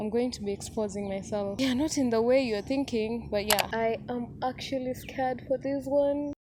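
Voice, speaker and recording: Speaking in a Kenyan accent, a woman keeps a moderate pace with hardly any pauses. Her voice sits high, and her intonation stays fairly even. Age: 20s. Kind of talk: personal story told to camera.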